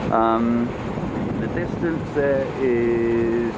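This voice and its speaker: Loud background noise competes with a man whose pitch varies in an ordinary way. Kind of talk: casual travel narration. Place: boat. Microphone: phone near.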